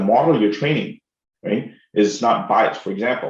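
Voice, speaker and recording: Speaking at a moderate pace, a man talks with an Indian accent. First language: Telugu. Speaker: professor. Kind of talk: lecture. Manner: animated.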